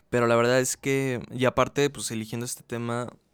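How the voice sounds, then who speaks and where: The recording is very clean and the background is silent. A man talks fairly slowly. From Mexico, Aguascalientes. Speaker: podcast host. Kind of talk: casual monologue. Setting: relative's home, bedroom. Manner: casual, hesitant with fillers.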